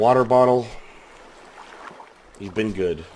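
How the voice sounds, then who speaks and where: A man's voice with noticeable background noise. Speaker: gaming commentator. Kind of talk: casual gameplay commentary.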